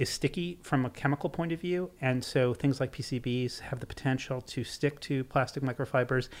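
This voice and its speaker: At a moderate pace, a man speaks in an ordinary speaking voice with an American accent, a fairly high pitch and ordinary pitch variation. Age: 50s. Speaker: author and seafood writer. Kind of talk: casual interview chat.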